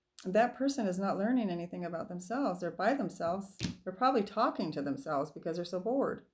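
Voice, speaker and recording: This soft-spoken woman talks at a very fast pace in a somewhat breathy, medium-pitched voice with lively intonation. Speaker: tarot reader. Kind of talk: tarot reading.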